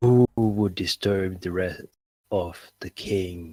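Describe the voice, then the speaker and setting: A man does a put-on character voice at a very deep, low pitch and a very slow pace. The intonation is fairly even, and the sound is dry and close with no echo. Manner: commanding, menacing.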